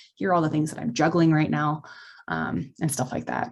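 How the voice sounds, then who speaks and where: With an American accent, a woman talks at a very fast pace in a very deep, low pitch, using lively intonation and vocal fry. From Texas. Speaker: medical student presenter. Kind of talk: informational presentation. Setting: video call.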